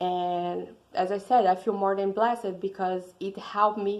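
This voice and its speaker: A woman in a Brazilian accent, medium in pitch, fairly slow, with fairly even intonation. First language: Portuguese. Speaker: student. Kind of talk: class presentation.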